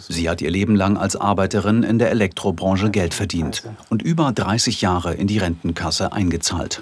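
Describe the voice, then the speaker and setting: An unremarkable speaking voice from a man, fairly low in pitch, with ordinary pitch variation and a fairly quick pace. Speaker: documentary narrator. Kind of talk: TV documentary narration.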